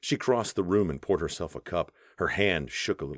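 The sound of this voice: The intonation is lively, delivered in an unforced reading voice.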